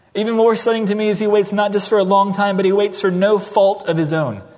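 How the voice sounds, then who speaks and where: Noticeable background noise sits behind a man talking at a very fast pace. His high-pitched voice holds a monotone, flat intonation. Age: 30s. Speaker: pastor. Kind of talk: sermon. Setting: church.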